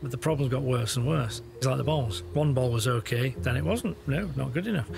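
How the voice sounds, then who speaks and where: A man speaks over clear background music. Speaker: dog trainer. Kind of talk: interview commentary to camera. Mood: amused, playful. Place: garden.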